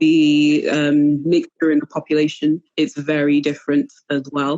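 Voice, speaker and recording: Speaking at a fairly slow pace, a woman with a Manchester accent has a very deep, low voice. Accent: British with a Mancunian twang. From Cameroon and North Wales. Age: 30s. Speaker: podcast guest. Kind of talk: interview conversation. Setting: live online show. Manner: hesitant, many fillers.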